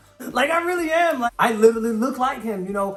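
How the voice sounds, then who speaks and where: A man talks at a moderate pace, his pitch swinging very widely. Noticeable background noise is present. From Somalia, moved to the US as a child. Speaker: YouTuber. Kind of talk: casual chat.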